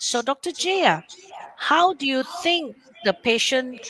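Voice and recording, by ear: The tone is bright and sharp with a slightly husky edge, at a fairly slow pace. The sound is dry and close, with no echo. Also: woman.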